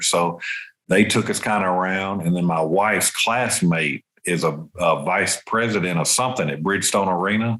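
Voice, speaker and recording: A man speaks with a bright, sharp tone. His pitch is fairly low, with ordinary pitch variation. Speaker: amateur golfer. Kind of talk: casual chat. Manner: animated.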